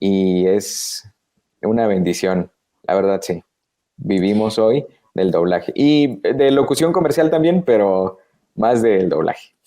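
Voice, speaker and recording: Very wide pitch swings mark a dark, mellow tone delivered at a very slow pace. Long, frequent pauses break up the speech, while the loudness stays very even. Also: man, fairly low pitch for a man. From Guatemala. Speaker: voice actor. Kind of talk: interview answer.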